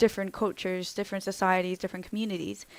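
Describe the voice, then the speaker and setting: A woman talks with an American accent. Her intonation stays fairly even. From international schools abroad, Dutch family. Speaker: vlogger. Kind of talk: casual vlog talk. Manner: hesitant, many fillers.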